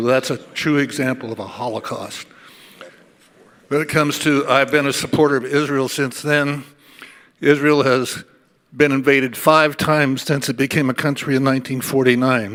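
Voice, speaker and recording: This man's fairly high voice stays monotone, with flat intonation throughout. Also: moderate pace. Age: 80s+. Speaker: convention delegate. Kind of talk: floor speech at political convention.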